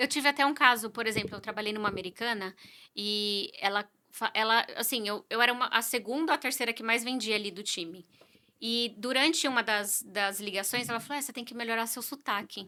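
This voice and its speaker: A woman with a bright, sharp tone and a fairly high pitch speaks at a fairly quick pace, with ordinary pitch variation and big swings in loudness. The recording is very clean, with a silent background. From Brazil. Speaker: real estate agent. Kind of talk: podcast interview.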